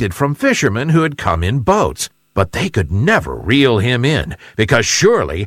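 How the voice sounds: A natural reading voice carries the clip. Behind it, the background stays quiet.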